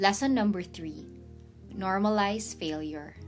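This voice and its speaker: A woman speaks at a moderate pace in a relaxed tone. Music plays in the background. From Philippines. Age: 20s. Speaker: YouTuber. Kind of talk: casual talk to camera. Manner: relaxed, chatty.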